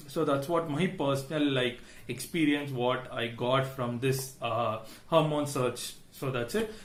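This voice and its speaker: Noticeable background noise and audible room echo surround the speaker. He is a man with an Indian accent, a fairly high pitch and ordinary pitch variation. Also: fairly slow pace. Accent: Indian English (Tamil). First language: Tamil. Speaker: tech YouTuber. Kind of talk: tech review vlog. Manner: hesitant, many fillers.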